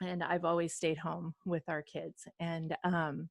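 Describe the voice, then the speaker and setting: Fairly even intonation on a dry, close sound with no echo, in a very clean recording with a silent background. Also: woman. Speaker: fitness coach. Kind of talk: team call talk. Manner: hesitant with frequent fillers.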